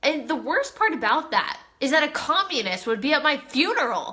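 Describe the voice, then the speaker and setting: In a Southern California accent, the speaker uses a raised, projected voice with an animated tone and lively intonation at a moderate pace. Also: woman. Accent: Valley Girl. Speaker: live streamer. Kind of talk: casual chat.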